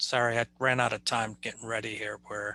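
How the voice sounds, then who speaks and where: A man's bright, sharp voice, dry and close with no echo, over a quiet background. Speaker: user group presenter teaching a data modeling class. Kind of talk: online class session. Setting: online call from home. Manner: many filler words and hesitations.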